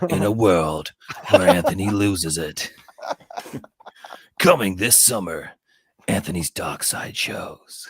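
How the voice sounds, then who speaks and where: A man puts on a character voice that is raspy and fairly low. He talks at a fairly slow pace with long, frequent pauses. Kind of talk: dramatic trailer announcer.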